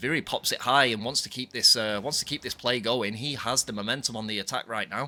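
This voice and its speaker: Talking at a very fast pace with hardly any pauses, a man with a northwest English accent has a medium pitch, a bright, sharp tone and fairly even intonation. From northwest England (Bolton, near Manchester). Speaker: esports caster and streamer. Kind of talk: live commentary. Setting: livestream.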